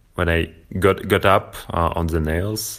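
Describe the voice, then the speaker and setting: A man with a Russian accent. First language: Russian (speaking German). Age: 30s. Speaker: nail-board practice entrepreneur. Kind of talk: interview. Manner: halting.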